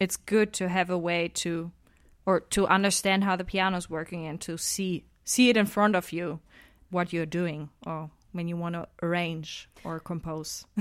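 A woman speaks in a German accent at a fairly low pitch, with fairly even intonation and a moderate pace. The recording is very clean, with a silent background. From Saxony, Germany. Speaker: a cappella singer and composer. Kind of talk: casual interview. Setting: radio studio.

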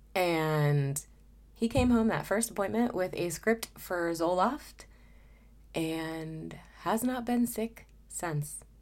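A woman's fairly low voice at a very slow pace, with lively intonation and long, frequent pauses. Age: 30s. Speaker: podcast host. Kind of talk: personal monologue. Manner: casual with frequent sighs and fillers.

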